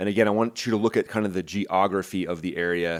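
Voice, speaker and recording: In an American accent, a man with a fairly low pitch speaks at a fairly quick pace in an energetic tone, on a very clean recording with a silent background. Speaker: military aviation commentator, former fighter pilot. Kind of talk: news commentary breakdown. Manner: fast; casual, energetic.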